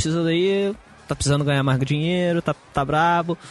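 A man speaks at a fairly quick pace. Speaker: tech podcast co-host. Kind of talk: casual chat. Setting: recording on a balcony.

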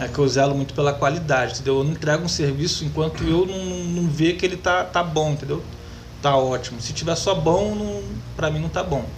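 A man's fairly high-pitched voice at a fairly quick pace, with audible room echo and noticeable background noise. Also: ordinary pitch variation. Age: 30s. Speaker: metalworker and YouTuber. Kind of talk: interview.

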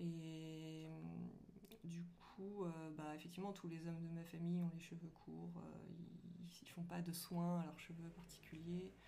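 Somewhat breathy and dark, mellow in tone, a woman with a fairly low pitch speaks at a fairly slow pace in a monotone, flat intonation amid audible room echo. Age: 30s. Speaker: graphic designer. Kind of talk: casual chat.

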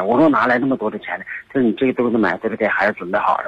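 A man at a very fast pace, with lively intonation. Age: 60s. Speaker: caller seeking advice. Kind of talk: radio call-in conversation. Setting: phone call. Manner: halting, many fillers.

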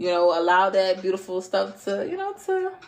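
Moderate-paced female speech with very wide pitch swings over noticeable background noise. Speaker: tarot reader podcast host. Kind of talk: casual tarot reading monologue. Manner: casual, filler-heavy.

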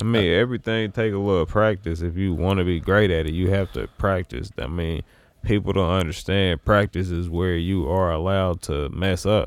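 Fairly even intonation carries this speech along at a moderate pace. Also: man, very deep, low pitch for a man. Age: 30s. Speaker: musician and actor. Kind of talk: casual chat.

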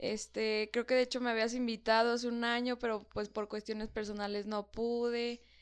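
A woman's fairly high pitch with monotone, flat intonation. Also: moderate pace, hardly any pauses. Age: 20s. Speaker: medical student. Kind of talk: casual chat. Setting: morning recording.

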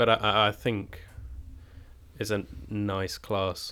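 A man's very slow, fairly low-pitched delivery in a southern English accent, bright and sharp in tone. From Cambridge, England. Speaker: drama school student. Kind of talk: casual chat. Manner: hesitant, many fillers.

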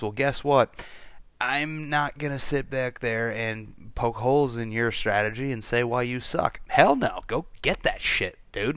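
A man at a medium pitch speaks in a plain, everyday voice at a fairly slow pace. The recording is very clean, with a silent background. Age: 30s. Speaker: podcast host and pharmacist. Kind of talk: casual monologue.

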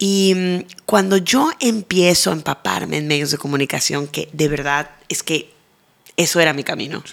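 Music plays in the background as a woman with a very deep, low pitch speaks at a fairly slow pace with ordinary pitch variation. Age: 40s. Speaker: TV presenter. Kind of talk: interview.

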